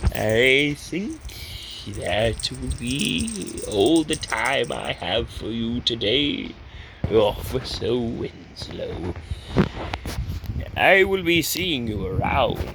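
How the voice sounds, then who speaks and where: Speaking at a very slow pace in a put-on character voice, a man leaves long, frequent pauses over clear background noise. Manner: formal, courteous.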